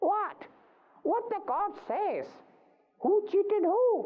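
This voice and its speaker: A put-on character voice speaks at a very slow pace. The pitch is extremely high. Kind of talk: children's story acting. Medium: read story. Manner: eager, stammering.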